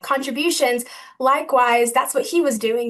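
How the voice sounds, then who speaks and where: A high-pitched woman with an American accent, ordinary pitch variation and a moderate pace, against a quiet background. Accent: Southern US, strong today. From US South. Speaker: graduate student researcher; presenter. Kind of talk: lecture. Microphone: webcam.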